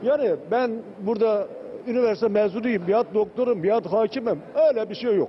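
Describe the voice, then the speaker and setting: Light background noise sits behind a man with a high voice. He talks at a moderate pace with very even loudness and ordinary pitch variation. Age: 70s. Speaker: volunteer cook. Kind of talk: interview answer. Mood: heartfelt, proud, emotional. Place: kitchen. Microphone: handheld.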